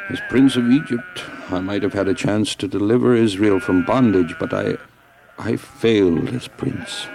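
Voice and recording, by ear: Ordinary pitch variation in a natural voice, reading aloud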